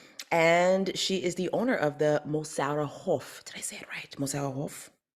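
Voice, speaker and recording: Spoken at a moderate pace with an English accent, this voice has ordinary pitch variation and big swings in loudness. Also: woman, very deep, low pitch for a woman. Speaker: podcast host. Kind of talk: interview.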